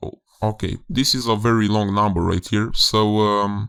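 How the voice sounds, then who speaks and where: In a very clean recording with a silent background, a man speaks at a moderate pace and fairly low pitch. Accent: Romanian. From Romania. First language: Romanian. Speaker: game developer. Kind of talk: tutorial. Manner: halting, many fillers.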